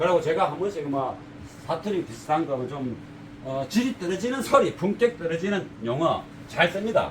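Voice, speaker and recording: Noticeable background noise sits behind a man with a high pitch. He moves at a moderate pace with lively intonation. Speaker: car audio installer, shop owner. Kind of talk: casual talk to camera. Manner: unpolished, plain-spoken; halting, stammers.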